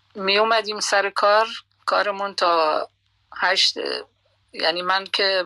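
The pitch stays in the medium range. The speaker is a woman. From Iran, Khuzestan (Masjed Soleyman). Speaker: retired radio journalist. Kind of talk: life story interview. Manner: calm, soothing.

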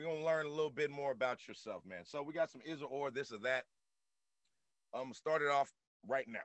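At a fairly quick pace, a man speaks with a fairly high pitch, ordinary pitch variation and big swings in loudness. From US South. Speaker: podcast host. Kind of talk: casual interview chat. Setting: studio. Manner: halting.

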